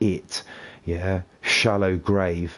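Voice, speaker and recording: A man speaks with a British accent at a very deep, low pitch. His intonation is monotone and flat. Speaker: gaming streamer. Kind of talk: casual chat. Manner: sounds angry and upset; talkative, non-stop.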